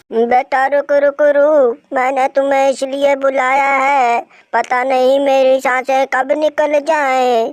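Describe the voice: A cartoonish character voice, high-pitched and monotone, flat in intonation, very slow yet with hardly any pauses.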